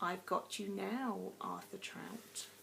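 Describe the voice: A woman's raspy, hissing put-on character voice over clear background noise.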